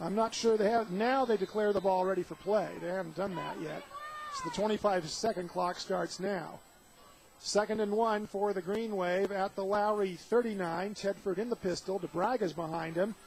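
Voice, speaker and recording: A man with a high voice speaks at a moderate pace and fairly even intonation over noticeable background noise. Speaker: radio play-by-play announcer. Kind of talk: sports radio play-by-play.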